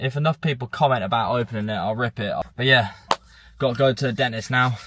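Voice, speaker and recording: Talking very fast with an English accent, a man keeps a medium pitch and fairly even intonation. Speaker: vlogger. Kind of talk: casual vlog talk. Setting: in a car. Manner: loud.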